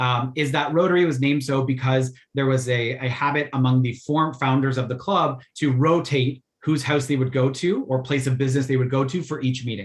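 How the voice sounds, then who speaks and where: A somewhat breathy man's voice at medium pitch, with ordinary pitch variation. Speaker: Rotary youth exchange volunteer presenter. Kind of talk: virtual info session presentation. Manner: fast.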